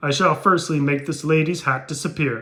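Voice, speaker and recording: In a put-on character voice, a man projects a raised, fairly high-pitched voice with fairly even intonation. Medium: read story. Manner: imperious.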